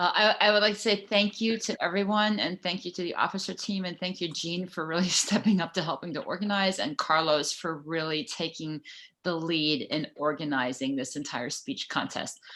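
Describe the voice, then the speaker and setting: A bright, sharp voice runs at a moderate pace with hardly any pauses. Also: woman, fairly low pitch for a woman, ordinary pitch variation. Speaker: club president. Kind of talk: meeting remarks; casual chat. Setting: video call.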